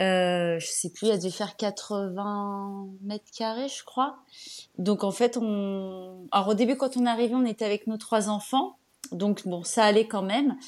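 Captured on a very clean recording with a silent background, a woman of medium pitch talks at a fairly slow pace. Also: fairly even intonation. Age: 40s. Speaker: home renovator and online antiques seller. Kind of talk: casual interview. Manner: hesitant, many fillers.

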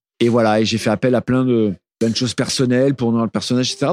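Talking at a very fast pace, a man with a medium pitch is heard in a dry, close recording with no echo. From Burgundy, Nièvre (France). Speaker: singer-songwriter and novelist. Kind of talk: interview. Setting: studio. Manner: halting.

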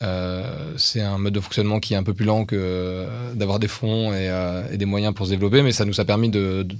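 Delivered at a fairly quick pace with fairly even intonation, the speech comes through a very clean recording with a silent background. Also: man. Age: 40s. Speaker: tech company founder and CEO. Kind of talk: interview.

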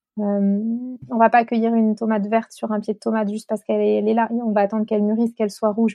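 Speaking very fast with hardly any pauses, a woman uses a fairly high voice in a monotone, flat intonation. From France, Chartres. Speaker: natural dyer and author. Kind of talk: interview. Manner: hesitant, many fillers.

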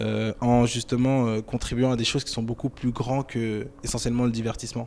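Using a monotone, flat intonation, a man with a medium pitch talks at a moderate pace. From Paris suburbs (Cergy-Pontoise), France. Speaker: entrepreneur in digital marketing. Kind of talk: interview. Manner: hesitant, many fillers.

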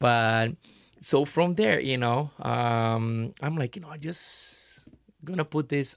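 A medium-pitched man with a Portuguese accent in a dry, close sound with no echo. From Brazil. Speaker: artist. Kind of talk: casual chat.

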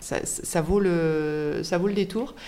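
A woman with a fairly low voice speaks with audible room echo around her. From southern France, Avignon. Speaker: winemaker. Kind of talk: casual chat.

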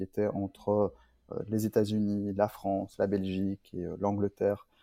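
Recorded very cleanly against a silent background, a man with a dark, mellow tone and fairly low pitch sounds dry and close, with no echo. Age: 30s. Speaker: startup founder and CEO. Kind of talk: interview. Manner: hesitant, many fillers and repeats.

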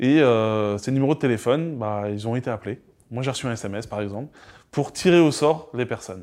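At a moderate pace, a man speaks with ordinary pitch variation. The recording is very clean, with a silent background. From Normandy, near Caen (Calvados). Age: 30s. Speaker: citizen assembly member and association co-president. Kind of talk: interview. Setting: recorded at a festival. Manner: hesitant, many fillers.

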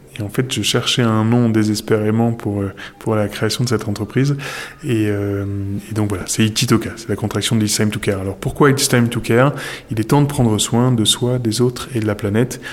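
Through noticeable background noise, a man of medium pitch talks at a fairly quick pace with fairly even intonation. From northern France. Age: 40s. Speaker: entrepreneur. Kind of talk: interview.

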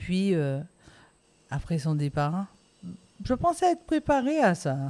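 A woman speaks at a very slow pace with long, frequent pauses. Her fairly low, dark, mellow voice moves in very wide pitch swings. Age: 50s. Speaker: interview guest sharing life story. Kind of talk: testimony. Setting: outdoors.

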